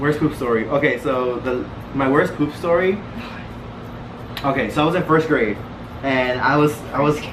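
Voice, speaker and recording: There is audible room echo and noticeable background noise. A man speaks at a fairly high pitch with ordinary pitch variation and long, frequent pauses. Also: moderate pace. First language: Spanish. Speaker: vlogger. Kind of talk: casual chat.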